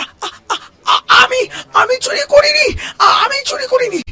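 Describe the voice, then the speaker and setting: Someone shouts in a cartoonish character voice at an extremely high pitch. The pace stays moderate. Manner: stammering, nervous.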